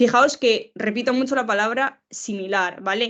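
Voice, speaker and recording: Over a quiet background, a woman with an unremarkable speaking voice talks at a moderate pace with ordinary pitch variation. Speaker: professor, lecturer. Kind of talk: lecture.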